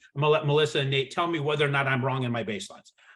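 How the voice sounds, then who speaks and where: At a very fast pace, a man talks in a fairly high pitch. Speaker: real estate broker. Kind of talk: webinar presentation. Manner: animated.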